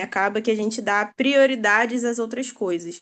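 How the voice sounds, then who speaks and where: Against a quiet background, a woman speaks with a fairly high pitch and fairly even intonation in a Rio de Janeiro accent. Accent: carioca. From Brazil, Rio de Janeiro. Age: 20s. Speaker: participant in online prayer group. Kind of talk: testimony.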